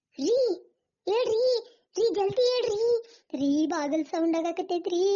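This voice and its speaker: A woman uses a cartoonish character voice at an extremely high, squeaky pitch. She speaks at a fairly slow pace. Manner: excitable, fearful.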